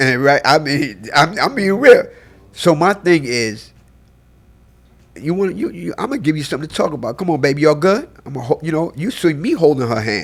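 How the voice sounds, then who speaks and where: Here a man talks in a fairly high voice. His pace is fairly quick. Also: lively intonation. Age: 60s. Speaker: photographer. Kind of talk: casual chat. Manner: animated.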